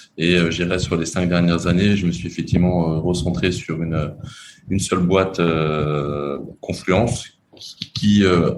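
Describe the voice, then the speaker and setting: A man's very deep, low voice at a moderate pace with fairly even intonation, amid noticeable background noise and audible room echo. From France. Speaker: entrepreneur. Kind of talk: interview. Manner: halting, many repetitions.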